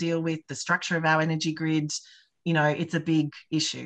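Against a quiet background, a woman with an Australian accent talks at a fairly quick pace. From Australia, rural New South Wales. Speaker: political candidate; candidate. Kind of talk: campaign town hall talk. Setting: video call. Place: home room. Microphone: webcam.

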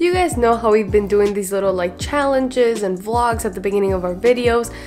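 A woman talks while faint music plays in the background. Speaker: vlogger. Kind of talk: casual vlog chat. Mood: teasing, joking. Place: home room.

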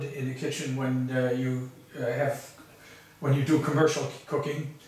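The man's moderate-paced speech carries audible room echo. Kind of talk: casual home tour. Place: kitchen.

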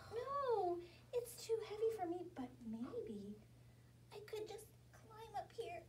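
A woman puts on a squeaky, cartoonish character voice at an extremely high pitch, speaking fairly slowly over clear background noise. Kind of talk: children's puppet story time. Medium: puppet show. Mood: sly, eager.

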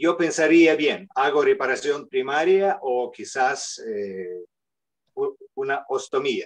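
A very slow delivery in a non-native accent over a quiet background. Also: man. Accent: foreign accent in Spanish. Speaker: surgeon, panelist; panelist. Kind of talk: panel discussion. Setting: video call. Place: office. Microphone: video call.

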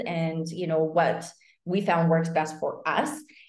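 A woman's fairly low voice at a moderate pace, with audible room echo and a quiet background. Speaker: online business coach. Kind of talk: webinar presentation. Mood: upbeat, excited. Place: home room. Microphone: webcam.

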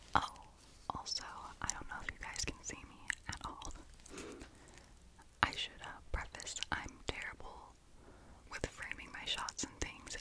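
The speaker is whispering at a fairly slow pace. Long pauses come often. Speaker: ASMR creator. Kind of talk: casual ASMR talking video. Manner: whispered. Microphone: studio mic.

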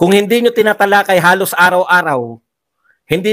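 Against a quiet background, a man talks at a fairly quick pace in a high pitch, his bright, sharp tone carried on fairly even intonation. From Philippines. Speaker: political vlogger. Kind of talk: political commentary. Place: home room. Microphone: handheld.

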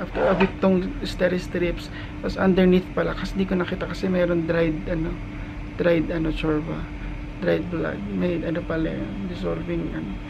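Noticeable background noise under speech at a moderate pace. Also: man. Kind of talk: casual vlog chat. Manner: weak, tired voice after neck surgery. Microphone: phone near.

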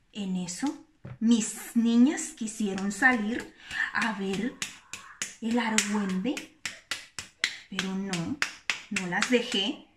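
Speech comes at a very slow pace with ordinary pitch variation and long, frequent pauses. Noticeable background noise runs underneath. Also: woman. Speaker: storyteller. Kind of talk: casual vlog chat. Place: kitchen. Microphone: phone near.

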